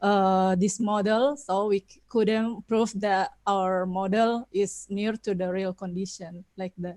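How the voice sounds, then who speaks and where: Spoken at a very slow pace with hardly any pauses, this voice has a non-native accent, fairly even intonation and big swings in loudness. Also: woman, medium pitch for a woman, dry, close sound with no echo. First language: Indonesian. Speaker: conference presenter. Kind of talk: Q&A answer. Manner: halting, many fillers.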